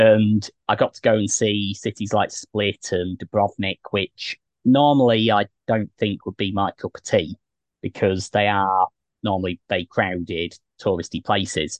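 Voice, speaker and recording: The speaker has a British accent and a fairly slow pace with fairly even intonation. The sound is dry and close, with no echo. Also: man. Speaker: travel podcast host. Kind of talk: casual interview. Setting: in a van at a campsite. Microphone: choppy connection early on.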